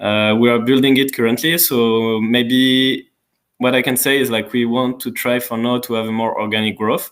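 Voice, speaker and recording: At a moderate pace, a man with a French accent speaks with monotone, flat intonation. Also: medium pitch for a man. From France. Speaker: community manager. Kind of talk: live Q&A stream. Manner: hesitant, many fillers.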